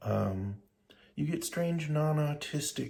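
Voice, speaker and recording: A somewhat breathy man at a fairly slow pace. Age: 60s. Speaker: vlogger. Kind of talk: casual monologue. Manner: halting.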